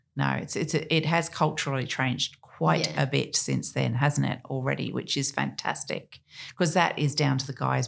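On a very clean recording with a silent background, a woman speaks in an Australian accent. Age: 50s. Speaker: podcast host and marina owner. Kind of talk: casual interview.

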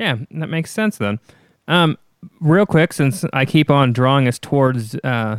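A man with a plain, everyday voice speaks at a moderate pace and medium pitch, with lively intonation. The recording is very clean with a silent background and a dry, close sound with no echo. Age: 30s. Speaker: podcast host. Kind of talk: interview.

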